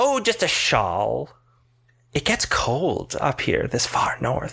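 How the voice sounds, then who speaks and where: This man puts on a character voice with high pitch. He speaks at a very slow pace. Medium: actual play. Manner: sweet, grandmotherly.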